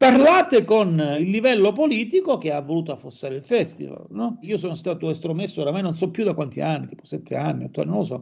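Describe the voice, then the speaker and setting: A high-pitched man at a very fast pace, lively in intonation, with hardly any pauses. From Calabria, Catanzaro. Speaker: musician and anthropologist. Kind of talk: interview conversation.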